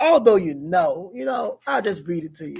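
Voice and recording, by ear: A woman with vocal fry and a slightly husky edge speaks at a moderate pace and medium pitch, her intonation lively.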